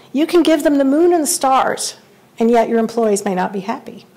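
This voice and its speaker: A woman's high-pitched voice with lively intonation, over noticeable background noise. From Central Kentucky. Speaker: awards presenter, survey firm director. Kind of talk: awards ceremony speech.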